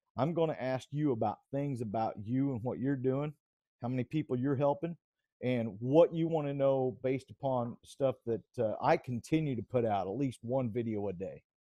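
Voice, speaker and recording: A man in a Southern US accent with a dark, mellow tone, moderate pace and ordinary pitch variation, in a dry sound with no echo and a quiet background. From US South. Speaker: video channel host; channel host. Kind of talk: casual chat. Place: home room. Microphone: video call.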